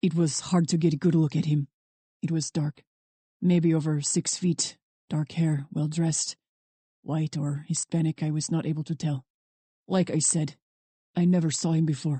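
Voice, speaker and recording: In a put-on character voice, a woman speaks at a moderate pace with a very deep, low pitch, monotone, flat intonation and long, frequent pauses. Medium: read story. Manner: stiff, clipped, proud.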